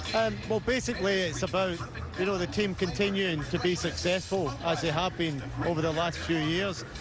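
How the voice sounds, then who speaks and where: A man's high voice in a Scottish accent at a moderate pace, with ordinary pitch variation and very even loudness, amid audible room echo and background music. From Scotland. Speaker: football coach. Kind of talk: interview. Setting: stadium. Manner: halting.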